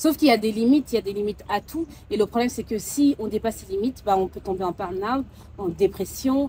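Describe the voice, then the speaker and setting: Speaking very fast with a West African accent, the voice shows ordinary pitch variation. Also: woman, fairly high pitch for a woman. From Mauritania. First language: Soninke (speaking French). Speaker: sophrologist. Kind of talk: interview conversation. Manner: hesitant, many fillers.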